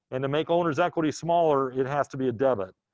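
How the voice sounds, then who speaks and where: A man speaks in a plain, everyday voice, fairly high in pitch with lively intonation. His pace is moderate against a quiet background. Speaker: accounting instructor. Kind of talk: lecture.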